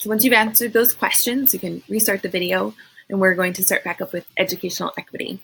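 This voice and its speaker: A woman's fairly quick speech with vocal fry, big swings in loudness and ordinary pitch variation. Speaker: school behavior interventionist. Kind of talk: recorded training presentation. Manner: fast.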